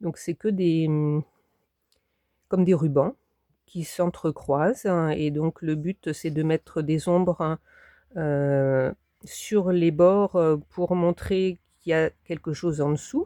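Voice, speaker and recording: A woman speaks very slowly with long, frequent pauses, her fairly low voice dark and mellow in tone. Her intonation is fairly even, and the sound is dry and close with no echo. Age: 60s. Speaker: craft hobbyist YouTuber. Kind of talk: tutorial. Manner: hesitant, many fillers.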